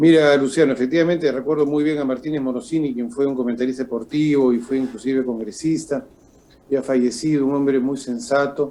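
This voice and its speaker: Speech moves at a fairly quick pace with a fairly even intonation. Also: man, fairly high pitch for a man. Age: 60s. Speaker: political commentator. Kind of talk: political interview. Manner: halting with fillers.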